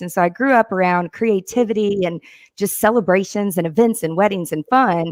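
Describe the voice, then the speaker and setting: In a Tennessee accent, a woman at a medium pitch speaks at a moderate pace with ordinary pitch variation, the sound dry and close with no echo on a very clean recording with a silent background. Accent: Southern US (Tennessee). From Tennessee, Mount Juliet near Nashville. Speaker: productivity consultant. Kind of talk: interview.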